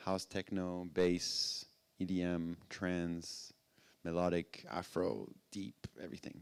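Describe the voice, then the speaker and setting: A man speaks at a very deep, low pitch with a French accent. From France. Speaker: music industry executive and DJ. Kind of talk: talk to live audience. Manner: halting, many fillers.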